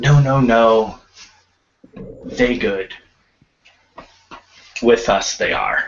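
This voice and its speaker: A man puts on a character voice at a medium pitch. He speaks very slowly, with long, frequent pauses. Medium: actual play. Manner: broken, clipped grammar.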